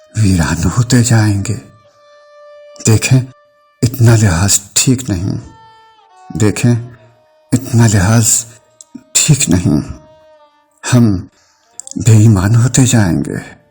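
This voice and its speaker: A man talks at a medium pitch, varying it in an ordinary way, while music plays behind him. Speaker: poet. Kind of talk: poetry reading.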